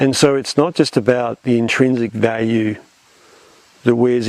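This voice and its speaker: The speaker has an Australian accent, and there is noticeable background noise. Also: man. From Australia, Melbourne. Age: 60s. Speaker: conservation scientist. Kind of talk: interview. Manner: halting, many repeated words.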